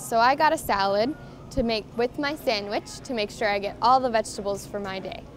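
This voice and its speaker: A woman speaks with ordinary pitch variation over faint background music. The sound is dry, with no echo. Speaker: language teacher. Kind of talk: tutorial. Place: shop. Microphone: camera far.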